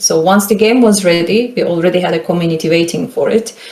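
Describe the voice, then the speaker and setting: A woman at a medium pitch, with a Turkish accent and ordinary pitch variation, talks amid audible room echo. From Turkey (Istanbul). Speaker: game marketing consultant. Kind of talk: lecture. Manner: casual, filler-heavy.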